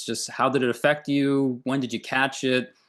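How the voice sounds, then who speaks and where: A man with an American accent speaks at a moderate pace in a fairly high pitch, his tone bright and sharp against a quiet background. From US East Coast, near Philadelphia. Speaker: podcast host. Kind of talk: interview.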